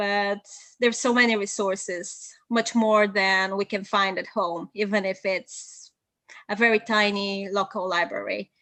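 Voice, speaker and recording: A woman speaks at a medium pitch with a Bulgarian accent, fairly slowly, in a flat monotone with a bright, sharp tone. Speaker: polyglot and translator. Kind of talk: live video interview.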